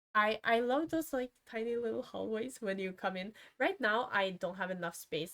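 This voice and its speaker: This woman has a non-native accent and a fairly high pitch. She talks at a moderate pace. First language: not English. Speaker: gaming streamer. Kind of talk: casual commentary over a speed build. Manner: halting, many fillers and self-corrections.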